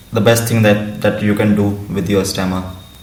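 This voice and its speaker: A man's monotone, flat delivery comes over noticeable background noise. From India. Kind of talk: interview answer. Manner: stuttering with repetitions and blocks.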